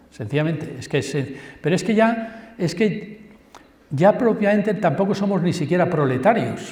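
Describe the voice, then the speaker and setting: A man's high-pitched voice with lively intonation at a moderate pace, amid audible room echo and noticeable background noise. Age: 60s. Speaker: university professor. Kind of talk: public lecture. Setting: school assembly hall with audience. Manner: animated.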